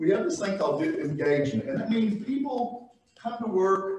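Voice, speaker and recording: With audible room echo, the speaker uses very wide pitch swings in a Southwest Virginia accent. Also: man. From US South, Northeast Tennessee. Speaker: business professor and consultant. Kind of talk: workshop presentation. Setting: room with live audience, also streamed. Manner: fast; casual, conversational.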